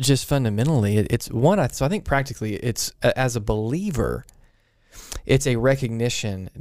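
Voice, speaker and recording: A man with an unremarkable speaking voice talks fairly quickly at a medium pitch. His intonation is lively. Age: 30s. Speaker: pastor. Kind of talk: casual chat.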